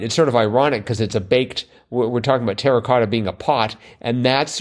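On a very clean recording with a silent background, a man talks at a fairly quick pace and medium pitch in a plain, everyday voice. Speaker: podcast co-host. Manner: chatty, wry.

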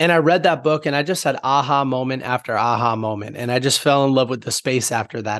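Medium-pitched man with a normal speaking voice, ordinary pitch variation and a fairly quick pace over a quiet background. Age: 20s. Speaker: entrepreneur and author. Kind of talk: casual chat.

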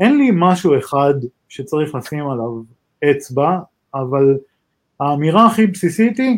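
Fairly slow pace from a man with lively intonation. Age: 40s. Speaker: cybersecurity executive. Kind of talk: interview.

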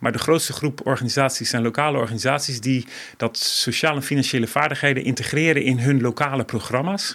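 A man's plain, everyday voice at medium pitch, fairly quick in pace, with fairly even intonation. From various developing countries. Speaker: NGO director. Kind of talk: interview.

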